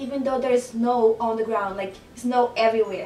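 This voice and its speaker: Amid noticeable background noise, a woman speaks at a fairly quick pace in a Brazilian Portuguese accent. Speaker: photographer and blogger. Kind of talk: casual talk to camera.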